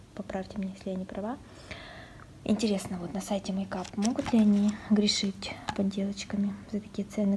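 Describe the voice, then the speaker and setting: Speaking at a moderate pace, a woman keeps her medium pitch monotone and flat. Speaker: beauty vlogger. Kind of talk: casual talk to camera, unboxing vlog. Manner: soft-spoken.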